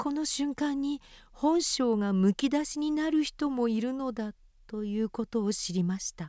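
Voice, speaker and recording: A woman with a high, dark and mellow voice speaks fairly slowly with lively intonation, in a dry, close sound with no echo. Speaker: reader of a memoir. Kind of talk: reading aloud.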